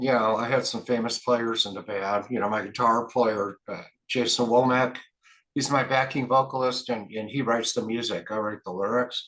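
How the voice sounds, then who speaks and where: A man talks at a medium pitch in a monotone, flat way at a moderate pace. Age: 60s. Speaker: rock band lead singer. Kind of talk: interview. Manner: casual, filler-heavy.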